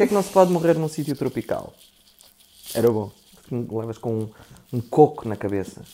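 A man with a dark, mellow tone and medium pitch talks at a fairly quick pace with very wide pitch swings and long, frequent pauses. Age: 30s. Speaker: actor. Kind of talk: casual chat.

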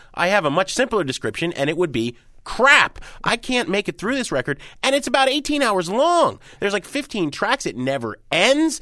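A man projects his raised voice at a moderate pace, high in pitch with a bright, sharp tone. His pitch swings very widely, and the recording is very clean with a silent background. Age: 40s. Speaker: music critic and radio host. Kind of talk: casual chat.

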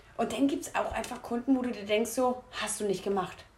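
Against noticeable background noise, a woman talks at a fairly quick pace with a high pitch. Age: 20s. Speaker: retail worker and podcast co-host. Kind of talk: casual chat.

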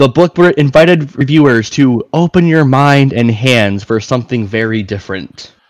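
In a normal speaking voice, a man talks at a moderate pace and medium pitch with ordinary pitch variation and hardly any pauses. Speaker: friend guest, works a job. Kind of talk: casual chat. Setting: voice chat call.

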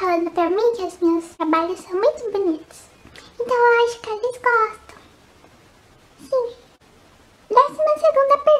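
A woman with an extremely high voice and very wide pitch swings speaks at a fairly slow pace, leaving long, frequent pauses. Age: 20s. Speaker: photography youtuber. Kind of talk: casual vlog Q&A. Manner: animated.

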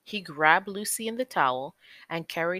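Lively intonation runs through the text as it is read in an unforced voice.

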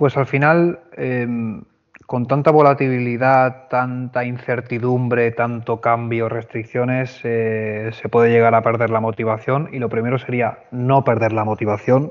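Monotone and flat in intonation, a man of medium pitch speaks at a fairly slow pace. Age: 30s. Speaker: hotel HR manager. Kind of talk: interview.

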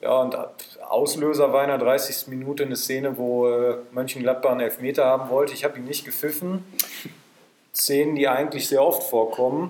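Over noticeable background noise, a man speaks fairly quickly with a fairly high pitch and fairly even intonation. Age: 20s. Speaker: football referee. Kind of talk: casual chat. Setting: in a pavilion at the club grounds.

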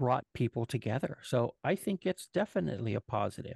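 A man's medium-pitched voice with vocal fry and lively intonation, dry and close with no echo, over a quiet background. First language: Spanish. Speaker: podcast co-host. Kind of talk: casual chat. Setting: livestream.

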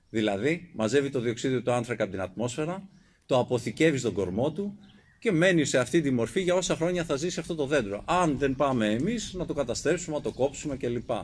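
A man's unremarkable speaking voice, fairly high in pitch, with lively intonation at a moderate pace on a very clean recording with a silent background. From Euboea, Greece. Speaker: environmental activist. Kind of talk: public talk. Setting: outdoors.

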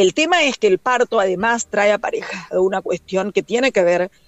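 Amid noticeable background noise, a woman speaks with lively intonation. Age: 40s. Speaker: communicator and activist. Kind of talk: interview.

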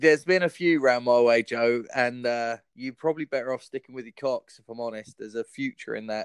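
A fairly quick southern English accent with hardly any pauses. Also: man, medium pitch for a man, ordinary pitch variation, dry, close sound with no echo. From Southampton, southern England.

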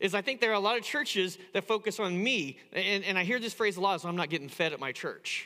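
A man with an American accent speaks in a raised, projected voice at a very fast pace, his high pitch and bright, sharp tone running on with hardly any pauses. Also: ordinary pitch variation. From US Midwest, Indiana. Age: 50s. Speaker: pastor. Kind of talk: sermon. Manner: halting.

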